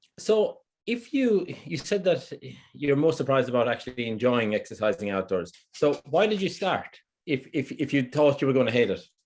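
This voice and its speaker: An Irish accent at a moderate pace, with very wide pitch swings. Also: man, fairly high pitch for a man. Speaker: fitness trainer. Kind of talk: interview.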